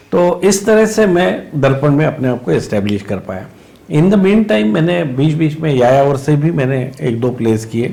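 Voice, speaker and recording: A Marathi-accented voice at a moderate pace with very wide pitch swings, audible room echo, and noticeable background noise. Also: man, fairly high pitch for a man. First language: Marathi (speaking Hindi). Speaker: theatre actor and director. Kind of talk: interview. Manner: hesitant, many fillers.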